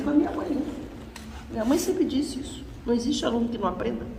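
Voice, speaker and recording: Recorded with audible room echo and noticeable background noise, a woman speaks in a high pitch. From Brazil, Florianópolis. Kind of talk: lecture.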